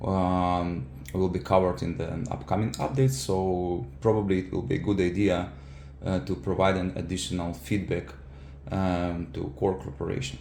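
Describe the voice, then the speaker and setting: A man's very deep, low voice with a non-native accent, moderate pace and ordinary pitch variation, set in audible room echo. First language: not English. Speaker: software engineer and keyboard user. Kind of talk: product feedback tutorial. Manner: halting, many fillers.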